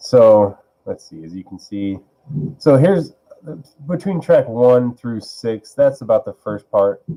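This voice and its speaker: Lively intonation marks this man's voice, which has a dark, mellow tone. He speaks at a fairly slow pace. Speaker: music producer streamer. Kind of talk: casual live stream chat. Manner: rambling, hesitant.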